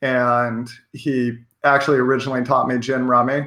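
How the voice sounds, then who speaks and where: A man speaks with an American accent at a moderate pace and a medium pitch. His tone is bright and sharp, and his intonation is monotone and flat. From Washington State, US. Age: 30s. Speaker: professional poker player and life coach. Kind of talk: interview.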